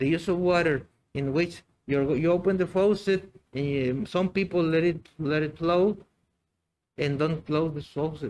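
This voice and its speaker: At a moderate pace, a man with a Mexican accent speaks with fairly even intonation. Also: fairly high pitch for a man. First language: Spanish. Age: 60s. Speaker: biology teacher. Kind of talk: interview. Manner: halting, many fillers and repetitions.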